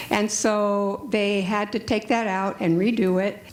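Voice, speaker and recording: A woman's voice sits at a medium pitch, with noticeable background noise behind it. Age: 70s. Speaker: patient asking a question. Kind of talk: audience question at panel.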